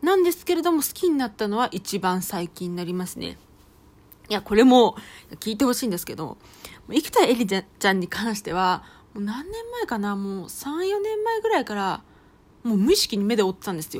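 Her pitch fairly high and swinging very widely, a woman talks fairly quickly in an animated tone, with big swings in loudness. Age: 30s. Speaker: podcast host, housewife and idol fan. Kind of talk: casual monologue.

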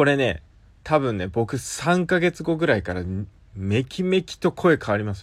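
The recording is very clean, with a silent background. A man speaks at a moderate pace and medium pitch, his voice making very wide pitch swings. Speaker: app radio show host. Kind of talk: solo talk monologue.

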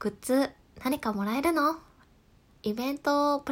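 A woman's high-pitched voice with a bright, sharp tone, a calm tone and ordinary pitch variation. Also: very clean recording, silent background. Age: 20s. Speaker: podcast host. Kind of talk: solo talk. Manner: laughs at times.

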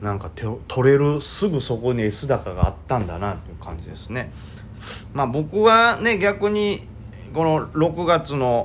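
Speaking fairly slowly, a man makes very wide pitch swings and big swings in loudness. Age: 30s. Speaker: amateur stock trader podcaster. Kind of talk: casual solo talk. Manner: rambling with fillers.

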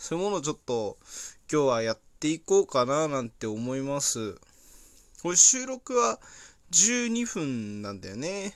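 A man's voice with very wide pitch swings, big swings in loudness and long, frequent pauses, on a very clean recording with a silent background. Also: moderate pace. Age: 20s. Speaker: podcaster and tire-change worker. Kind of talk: casual solo monologue. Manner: halting, many fillers.

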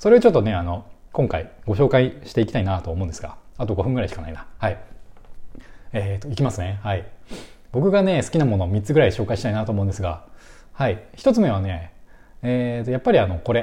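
A man's fairly low, somewhat breathy voice with a dark, mellow tone, ordinary pitch variation and a very fast pace. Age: 30s. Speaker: music fan podcaster. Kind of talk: casual solo talk. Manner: halting, many fillers.

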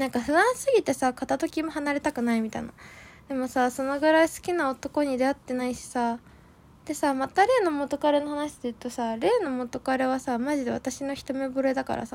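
A high-pitched woman at a moderate pace, animated in tone, with ordinary pitch variation. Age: 20s. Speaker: solo podcaster. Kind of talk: casual monologue.

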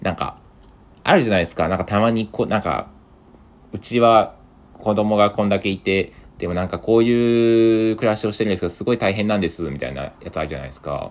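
The speaker talks very fast, with ordinary pitch variation. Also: man, fairly low pitch for a man. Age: 20s. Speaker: podcaster. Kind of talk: solo monologue.

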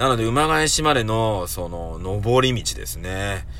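A man speaks over music in the background, with audible echo from the room. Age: 40s. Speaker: podcast host. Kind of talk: casual solo talk.

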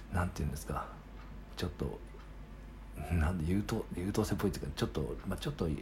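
Very fast speech with very wide pitch swings and vocal fry is broken up by long, frequent pauses. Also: man, very deep, low pitch for a man. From Japan, Sagamihara (Kanagawa). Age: 30s. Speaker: podcaster. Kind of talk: solo casual monologue. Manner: halting, many fillers.

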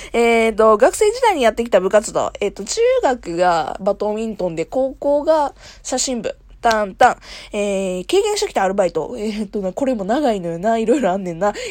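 A woman talks fairly quickly with lively intonation and a fairly high pitch in a normal speaking voice. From Kansai, Japan. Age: 20s. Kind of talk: solo casual talk. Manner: casual, frequent laughter.

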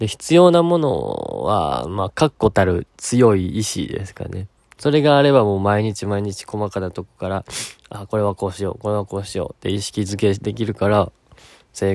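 In a Kansai accent, a man with a fairly low pitch speaks at a moderate pace in a relaxed, gentle tone with lively intonation, the sound dry and close with no echo. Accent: Kansai Japanese. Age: 20s. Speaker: podcast host, university student. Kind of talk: casual solo talk, answering listener questions.

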